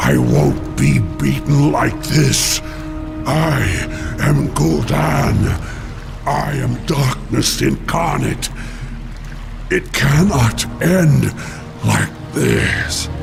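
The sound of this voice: With clear music in the background, a man in a put-on character voice speaks at a very slow pace, medium in pitch with big pitch swings and vocal fry.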